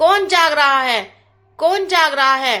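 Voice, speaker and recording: Here a woman performs a put-on character voice. It is high-pitched and fairly slow. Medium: read story.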